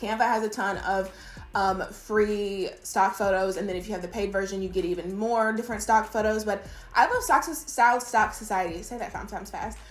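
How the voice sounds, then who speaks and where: A woman talks at a fairly quick pace in an animated tone, with audible echo from the room. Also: medium pitch for a woman. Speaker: virtual assistant business owner and YouTuber. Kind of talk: casual tutorial talking to camera. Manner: fast; animated, chatty.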